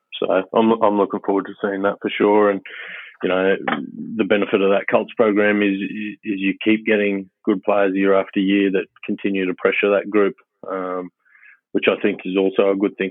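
A man speaks in an Australian accent. His intonation is monotone and flat. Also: fairly low pitch for a man, moderate pace. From Queensland, Australia (early childhood in Papua New Guinea). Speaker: rugby head coach. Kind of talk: casual interview. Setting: phone call.

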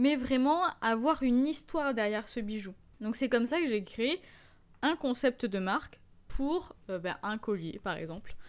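Her pitch is high, and the woman speaks at a fairly slow pace. Her tone is animated and her intonation lively. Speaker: e-commerce podcast host. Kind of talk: solo tutorial podcast.

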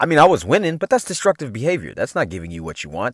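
An animated tone comes through in a very clean recording with a silent background and a dry, close sound with no echo. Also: man. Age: 40s. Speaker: podcast host, mindset coach. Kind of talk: motivational monologue.

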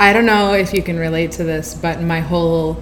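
A woman's very deep, low voice at a moderate pace, with ordinary pitch variation, audible room echo and noticeable background noise. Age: 20s. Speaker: translator. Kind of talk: casual chat.

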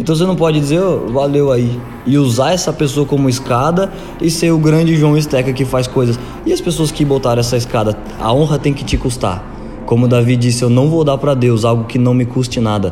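Music plays in the background and the room echo is audible. A man talks at a fairly quick pace and medium pitch, with ordinary pitch variation and very even loudness. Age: 20s. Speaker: church leadership coordinator. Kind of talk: casual interview.

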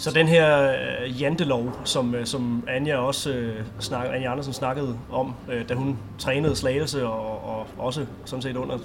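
Audible room echo and clear background noise accompany a voice whose pitch varies in an ordinary way. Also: man. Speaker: sports podcast host. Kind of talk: interview; scripted outro.

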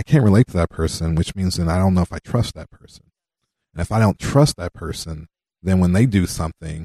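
Someone with an American accent speaks at a fairly quick pace, in a dry, close sound with no echo and a quiet background. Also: man. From South Central Los Angeles. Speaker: community leader discussing racism. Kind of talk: radio interview.

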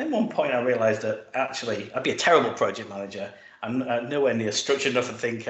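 Here a man talks at a very fast pace in a British accent. His pitch is medium. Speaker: tech executive. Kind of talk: panel discussion.

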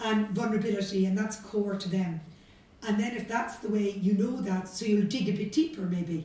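A woman with a Cork accent, medium pitch, ordinary pitch variation and a moderate pace, amid audible room echo and noticeable background noise. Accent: Cork Irish. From Ireland, Cork city. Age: 50s. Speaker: business executive. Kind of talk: interview.

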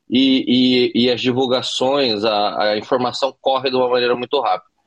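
Using an unremarkable speaking voice, the man keeps a moderate pace, a medium pitch and ordinary pitch variation. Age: 40s. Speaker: chef and poker player. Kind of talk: interview.

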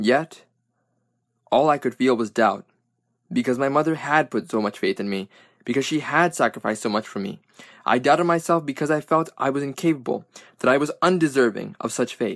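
A man with an American accent speaks fairly quickly in a fairly high pitch, with lively intonation and long, frequent pauses. The recording is very clean, with a silent background and a dry, close sound with no echo. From Brooklyn, New York. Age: 20s. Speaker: student author. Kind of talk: reading aloud.

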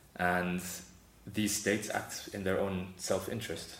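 A man talks in a very deep, low pitch. Audible room echo surrounds his voice. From South Africa. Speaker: humanitarian aid worker. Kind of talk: interview.

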